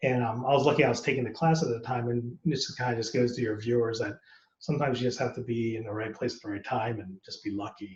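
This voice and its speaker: Talking at a very fast pace, a man uses an American accent and a medium pitch. His voice is somewhat breathy, and his pitch varies normally. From United States. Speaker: actor. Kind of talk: casual interview.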